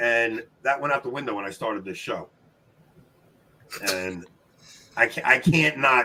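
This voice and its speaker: In a New York accent, a man talks at a moderate pace and medium pitch in an animated tone. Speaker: trivia show host. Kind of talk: live-stream casual chat. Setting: live stream with guests.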